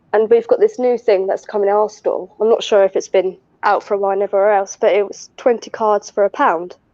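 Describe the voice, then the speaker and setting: In a southern English accent, a woman speaks with hardly any pauses, her fairly high pitch held in a monotone, flat intonation. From southern England. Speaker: retail worker, mother. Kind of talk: casual chat.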